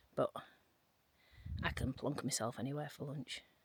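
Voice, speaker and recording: A woman is speaking. Her pace is fairly quick. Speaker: travel vlogger. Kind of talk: casual vlog narration. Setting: in a car; outdoors. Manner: whispering.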